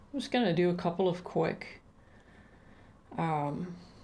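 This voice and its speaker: A woman speaks in a relaxed, dark, mellow tone with vocal fry. Her pitch variation is ordinary. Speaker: artist. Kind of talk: casual livestream chat while sketching. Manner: casual, relaxed, hesitant.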